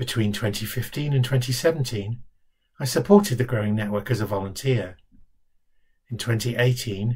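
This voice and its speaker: Over a quiet background, a man with a medium pitch and a somewhat breathy sound speaks at a fairly slow pace with ordinary pitch variation. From London. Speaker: charity director. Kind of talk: scripted self-introduction. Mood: warm, calm, steady. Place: home room. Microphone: webcam.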